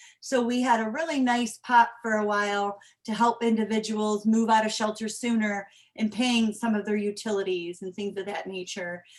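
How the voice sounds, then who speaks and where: At a moderate pace, a woman talks in an ordinary speaking voice, fairly high in pitch for a woman, with fairly even intonation. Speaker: homeless shelter representative. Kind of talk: presentation.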